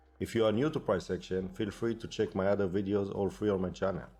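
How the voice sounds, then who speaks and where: A man with a non-native accent speaks at a fairly quick pace and a fairly low pitch. His pitch varies in an ordinary way, and music plays in the background. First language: not English. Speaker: day trader. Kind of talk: tutorial.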